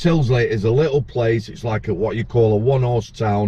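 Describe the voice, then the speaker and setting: In a Yorkshire accent, a man speaks at a medium pitch with a dark, mellow tone that is somewhat breathy. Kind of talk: casual chat. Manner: animated.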